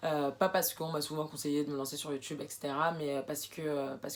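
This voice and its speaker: Her pitch is very deep and low for a woman, with fairly even intonation. This woman talks at a very fast pace. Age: 20s. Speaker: sewing and upcycling vlogger. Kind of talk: casual vlog introduction. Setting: alone in her bedroom. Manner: hesitant, many fillers.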